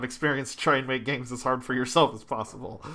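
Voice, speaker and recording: Here a man has a plain, everyday voice at medium pitch with fairly even intonation. The recording is very clean with a silent background. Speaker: podcast co-host. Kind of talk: casual chat.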